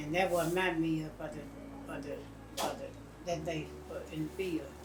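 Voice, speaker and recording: In a Southern US accent, a woman speaks at a moderate pace with noticeable background noise behind her. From Mississippi. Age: 70s. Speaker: retired cotton field worker. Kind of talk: interview answer. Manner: reminiscent, conversational.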